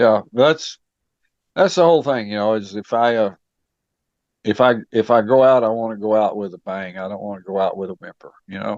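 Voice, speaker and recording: This man has a West Texas accent and a fairly low pitch. His loudness swings widely. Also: ordinary pitch variation, dry, close sound with no echo. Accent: West Texas drawl. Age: 70s. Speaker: author, retired law enforcement officer. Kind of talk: interview. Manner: halting, many fillers.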